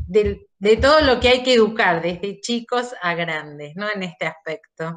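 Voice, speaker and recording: A woman speaks with an Argentine accent. Her pace is very slow. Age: 60s. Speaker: participant. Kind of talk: casual discussion. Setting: video call.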